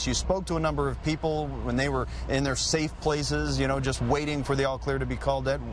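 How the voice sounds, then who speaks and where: Noticeable background noise sits behind a man talking at a very fast pace. His loudness stays very even. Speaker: television news anchor and reporter. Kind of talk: live breaking-news anchor toss to field crew.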